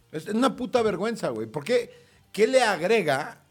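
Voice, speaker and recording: A man with very wide pitch swings. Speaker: comedian. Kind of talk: casual chat.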